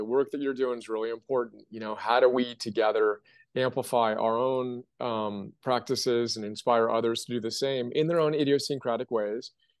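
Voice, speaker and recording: A man at medium pitch, fairly quick and hardly pausing, with fairly even intonation against a quiet background. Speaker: entrepreneur, platform founder. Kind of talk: interview answer. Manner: passionate, motivational.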